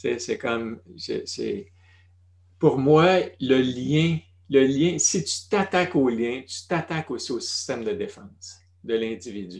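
In a very clean recording with a silent background, a man with a Quebec accent speaks very slowly in a fairly high, somewhat breathy voice with very wide pitch swings. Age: 60s. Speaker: retired family doctor. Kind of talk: interview conversation.

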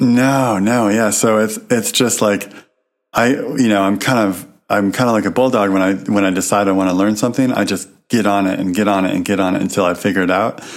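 A man with a plain, everyday voice, fairly low in pitch, at a fairly quick pace, with fairly even intonation and very even loudness. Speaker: podcast co-host. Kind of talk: casual chat.

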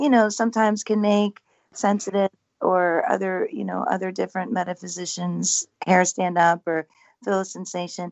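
A woman speaks with an unremarkable speaking voice at a medium pitch. Her pace is moderate. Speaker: paranormal house owner. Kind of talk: casual interview chat. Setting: radio call-in, remote.

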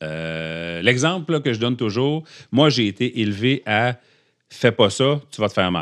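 Against a quiet background, a man with a medium-pitched voice speaks in an animated tone with lively intonation. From Quebec (Abitibi). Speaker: podcast guest. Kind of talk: personal testimony in casual interview. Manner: animated, talkative.

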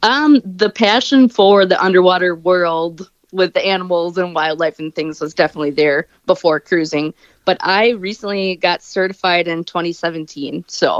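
In an ordinary speaking voice, a woman of medium pitch talks at a moderate pace with ordinary pitch variation. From US Midwest, Wisconsin. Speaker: scuba diver and cruise enthusiast. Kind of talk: casual interview.

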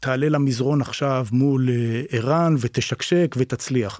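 In a dry, close sound with no echo and a very clean recording over a silent background, a man speaks with a dark, mellow tone. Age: 50s. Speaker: martial arts teacher. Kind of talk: casual interview chat.

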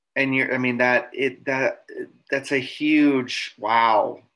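A man's bright, sharp tone at a medium pitch and fairly slow pace. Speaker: podcast co-host. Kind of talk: podcast interview.

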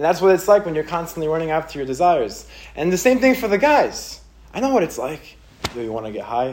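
A man talks very fast in a fairly high, animated voice. His pitch swings very widely. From Israel. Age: 20s. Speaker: motivational speaker. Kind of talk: inspirational talk to teenagers.

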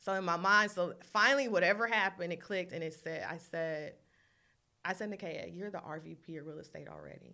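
A woman speaks very fast with a bright, sharp tone, vocal fry, ordinary pitch variation and big swings in loudness. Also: fairly low pitch for a woman. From Long Beach, California. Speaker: real estate broker. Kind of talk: casual interview.

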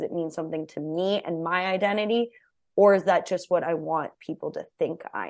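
An American-accented woman talks at a moderate pace in a normal speaking voice, her pitch medium, against a quiet background. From New Mexico, US. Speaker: actress and podcaster. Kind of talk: casual chat.

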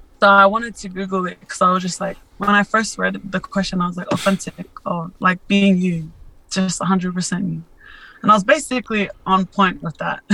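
With an Australian accent, a woman speaks at a fairly quick pace in a medium pitch, her bright, sharp tone carrying fairly even intonation. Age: 20s. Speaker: social media influencer and model. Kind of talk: interview, personal testimony. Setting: remote call. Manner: hesitant, many fillers.

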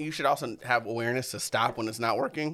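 A man with an American accent and a bright, sharp tone. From Arizona (Tucson). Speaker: comedian podcast host. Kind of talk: casual chat.

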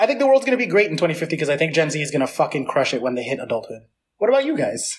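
Talking very fast, a man with a New York accent uses very wide pitch swings. His pitch sits fairly high. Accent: New York American. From New York City. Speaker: podcast host. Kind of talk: casual chat.

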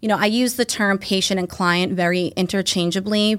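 A woman's medium-pitched, ordinary speaking voice at a moderate pace, in a very clean recording with a silent background. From Massachusetts South Shore. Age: 30s. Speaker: physician assistant. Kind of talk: casual interview chat.

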